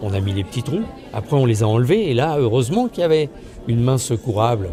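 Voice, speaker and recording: Over noticeable background noise, a man talks very fast at a medium pitch with lively intonation. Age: 60s. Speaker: life coach. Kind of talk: promotional self-presentation.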